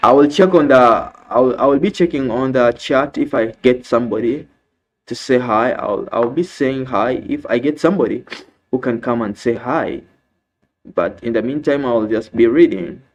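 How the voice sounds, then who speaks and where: A medium-pitched man with an African accent speaks at a moderate pace with ordinary pitch variation. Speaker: live streamer. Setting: live stream.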